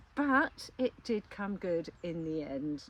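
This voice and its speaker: This woman has an English accent and a fairly low pitch. Her pitch swings very widely. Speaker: beekeeper. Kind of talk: casual vlog narration. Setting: outdoors.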